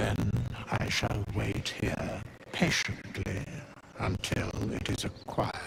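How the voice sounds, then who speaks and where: Against clear background noise, a man does a put-on character voice at a fairly slow pace. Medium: machinima. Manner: measured, formal.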